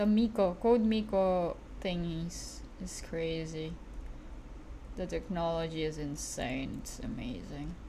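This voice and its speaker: A woman with a non-native accent at a very slow pace, amid audible room echo. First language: not English. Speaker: streamer and digital artist. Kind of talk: casual livestream chat while drawing. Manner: halting, self-correcting.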